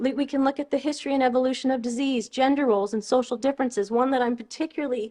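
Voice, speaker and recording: A woman speaks very fast in a Californian accent, her pitch high with ordinary variation. The background is quiet. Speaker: osteoarchaeologist. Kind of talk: lecture. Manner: halting, many fillers and restarts.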